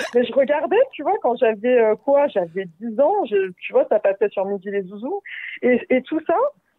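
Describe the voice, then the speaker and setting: Her intonation moves in a lively way. The woman keeps a moderate pace. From France, Paris suburbs (Val-de-Marne). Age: 20s. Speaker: podcast guest sharing life story. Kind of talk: testimony. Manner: casual, hesitant with many fillers.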